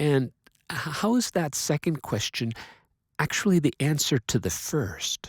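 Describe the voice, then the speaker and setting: A man talks at a fairly slow pace in a fairly high, somewhat breathy voice with very wide pitch swings and very even loudness. The recording is very clean with a silent background and a dry, close sound with no echo. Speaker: science educator. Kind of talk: lecture.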